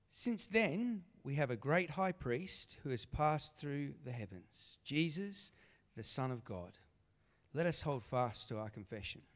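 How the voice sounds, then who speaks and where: A man speaks fairly slowly in a fairly high voice with very wide pitch swings. The recording is very clean, with a silent background. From Australia. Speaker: scripture reader. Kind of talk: reading aloud. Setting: church.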